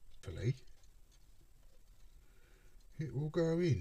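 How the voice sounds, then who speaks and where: Putting on a character voice, a man sounds strained at a fairly high pitch and a moderate pace. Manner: through gritted teeth, strained.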